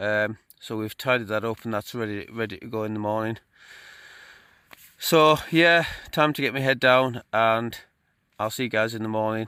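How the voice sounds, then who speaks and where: With a Cumbrian accent and a bright, sharp tone, the speaker moves at a moderate pace, uses ordinary pitch variation, and leaves long, frequent pauses. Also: man, medium pitch for a man. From Cumbria, northern England. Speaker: outdoor vlogger. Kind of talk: casual vlog talk to camera. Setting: outdoors, in a tent on a fell.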